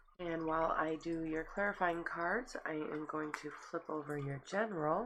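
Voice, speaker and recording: Noticeable background noise sits behind a woman's fairly low voice. She speaks at a moderate pace with ordinary pitch variation. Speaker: tarot reader. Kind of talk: tarot reading. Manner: casual.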